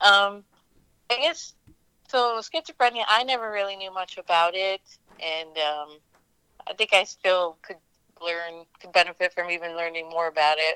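The voice has an American accent and a bright, sharp tone, at a fairly slow pace with long, frequent pauses. Loudness swings widely, and the sound is dry and close, with no echo. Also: woman. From US, western Pennsylvania (near Pittsburgh). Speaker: caregiver sharing family mental illness story. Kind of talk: personal testimony interview. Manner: hesitant, many fillers.

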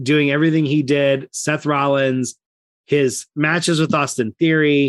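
An ordinary speaking voice from a man, fairly high in pitch and moderate in pace, with a dry, close sound and no echo. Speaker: wrestling podcast co-host. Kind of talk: casual chat.

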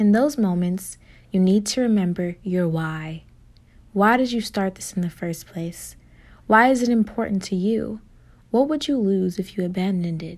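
In a very clean recording with a silent background, a woman speaks in an unremarkable speaking voice with ordinary pitch variation. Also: medium pitch for a woman. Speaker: meditation guide. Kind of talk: guided meditation. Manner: slow, calm, soothing pacing with pauses for breaths; gentle, warm, encouraging tone.

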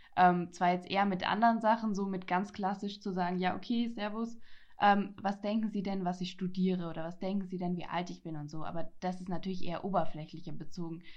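Using a normal speaking voice, a woman talks at a medium pitch and a fairly quick pace with fairly even intonation. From Franconia, Germany. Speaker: podcaster. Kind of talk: casual chat.

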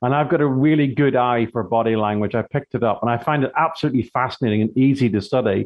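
A man's medium pitch in a British accent, at a very fast pace, with ordinary pitch variation and very even loudness. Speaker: body language expert and author. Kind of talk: radio interview.

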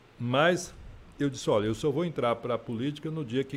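Speaking at a moderate pace with ordinary pitch variation, a man has a plain, everyday voice. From Feira de Santana, Bahia, Brazil. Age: 60s. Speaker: politician and radio presenter. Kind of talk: interview. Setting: studio.

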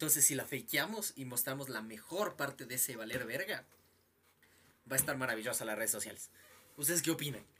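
This man's tone is bright and sharp, his pitch medium and his intonation lively. He talks at a fairly quick pace but leaves long, frequent pauses. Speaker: podcast co-host. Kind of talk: casual chat. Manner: expressive, tense voice.

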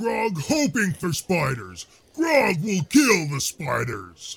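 Putting on a character voice, a man speaks at a very slow pace with a high pitch. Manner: simple, speaks in third person, eager.

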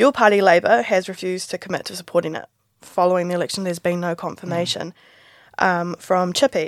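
Speaking very fast in a New Zealand accent, a woman keeps a medium pitch with ordinary pitch variation. The recording is very clean, with a silent background and a dry, close sound with no echo. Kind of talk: casual interview. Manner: casual, chatty.

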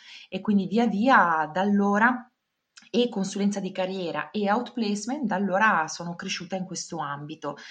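A woman talks in an ordinary speaking voice at medium pitch. Her pace is moderate and her pitch variation ordinary. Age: 40s. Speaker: career consultant. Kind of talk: interview.

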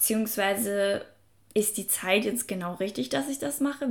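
A woman's medium-pitched voice with vocal fry, in a very clean recording with a silent background. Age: 20s. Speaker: self-help podcast host. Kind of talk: motivational podcast monologue. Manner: casual, filler-heavy.

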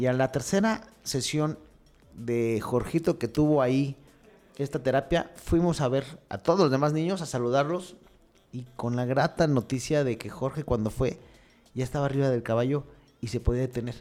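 Ordinary pitch variation and a moderate pace from a man at a medium pitch. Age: 40s. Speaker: mayor. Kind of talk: interview. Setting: studio. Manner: halting.

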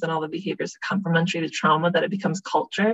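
In a dry, close recording with no echo, a woman speaks at a fairly low pitch, somewhat breathy, with monotone, flat intonation. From Bosnia. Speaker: social worker and therapist. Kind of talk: casual chat.

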